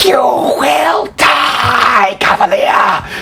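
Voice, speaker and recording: A man performs a put-on character voice with a hissing quality. Clear background noise can be heard. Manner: hissing, menacing.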